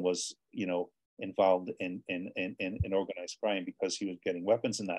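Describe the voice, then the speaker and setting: A man speaks fairly quickly in a fairly low pitch. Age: 60s. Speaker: author and former soldier. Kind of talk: interview. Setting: video call. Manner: halting, many repetitions.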